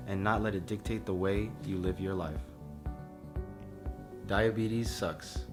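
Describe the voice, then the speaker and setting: Music plays in the background as a man talks at a moderate pace with very wide pitch swings. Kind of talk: parody commercial narration.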